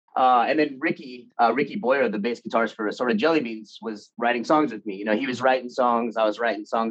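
The speech has an American accent and ordinary pitch variation. It moves at a very fast pace with hardly any pauses. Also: man. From Anaheim, California. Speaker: punk musician, band frontman and drummer. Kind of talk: casual chat. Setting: video call. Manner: halting, many fillers and repetitions.

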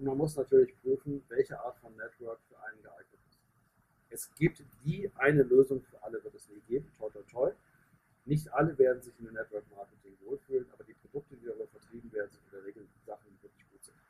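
A man at a very fast pace, with big swings in loudness and a dry, close sound with no echo. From northern Germany, Hanover. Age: 50s. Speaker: business coach and network marketer. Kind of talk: podcast interview. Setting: in person, outdoors in the sun.

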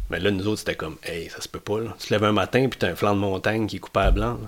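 A man with a fairly low pitch talks very fast, his intonation fairly even. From Matapédia valley, Gaspésie, Quebec. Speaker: biologist. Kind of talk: casual interview chat.

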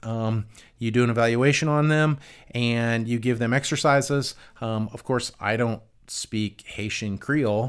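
A man's normal speaking voice at a medium pitch, fairly even in intonation, on a very clean recording with a silent background. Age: 50s. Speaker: physical therapist and clinic owner. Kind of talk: casual chat.

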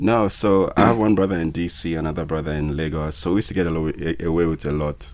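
A man talks at a fairly quick pace with hardly any pauses. His pitch is very deep and low, with ordinary pitch variation. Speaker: musician and filmmaker. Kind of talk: casual interview. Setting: studio.

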